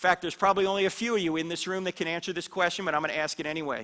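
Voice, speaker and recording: A man's high-pitched, raised and projected voice with an American accent, bright and sharp in tone and animated. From US Northeast, New Jersey. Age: 60s. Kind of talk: apologetics talk to church audience. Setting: church hall with live audience.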